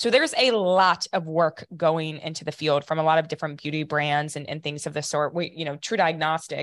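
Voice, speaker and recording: A woman with an American accent and a very deep, low pitch, at a very fast pace, with fairly even intonation over a quiet background. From Ohio, US Midwest. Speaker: company founder, scientist. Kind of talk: interview.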